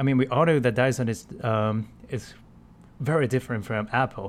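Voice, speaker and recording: Speaking with a Chinese accent, a man talks at a fairly slow pace with ordinary pitch variation. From China. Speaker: marketer. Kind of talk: solo podcast monologue. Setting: voice memo recording. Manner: halting, many fillers.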